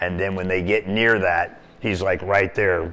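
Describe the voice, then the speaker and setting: Music plays in the background as a man with an American accent speaks in a very deep, low voice at a moderate pace with fairly even intonation. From US Pacific Northwest (Portland, Oregon). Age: 60s. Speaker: cave diver and dive shop owner. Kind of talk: interview storytelling. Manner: frequent hesitations (um).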